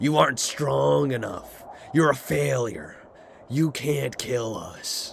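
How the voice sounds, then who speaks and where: In a raspy, put-on character voice at medium pitch, a man speaks fairly slowly against clear background noise. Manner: threatening, taunting.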